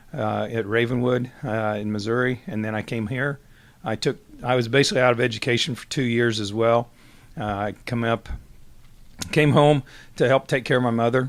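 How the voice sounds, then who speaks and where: A man with a Midwestern US accent at medium pitch and moderate pace, with fairly even intonation, long, frequent pauses and a very clean recording over a silent background. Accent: rural Midwestern American. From US Midwest, southwest Iowa. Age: 60s. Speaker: retiring high school football coach. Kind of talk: interview. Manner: halting, many fillers.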